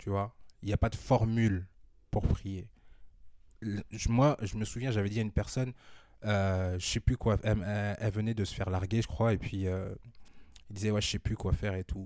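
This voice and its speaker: The voice has a dark, mellow tone and fairly even intonation, moving at a moderate pace with long, frequent pauses. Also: man, fairly low pitch for a man. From northern France, Amiens. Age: 30s. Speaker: former basketball player and entrepreneur. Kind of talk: casual interview, testimony.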